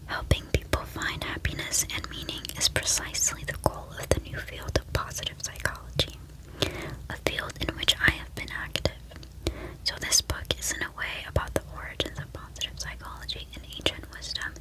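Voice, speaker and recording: Whispering at a moderate pace, a woman swings widely in loudness amid noticeable background noise. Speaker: ASMR content creator. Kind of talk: reading from a psychology book. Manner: whispered.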